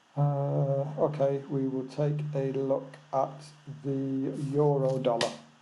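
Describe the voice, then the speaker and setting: A soft-spoken man with an English accent talks at a fairly high pitch in a monotone, flat way. There is noticeable background noise and audible room echo. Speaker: forex trading educator. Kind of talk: live webinar. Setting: remote lodge, webinar. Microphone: seven-year-old original mic, replaced a worse one.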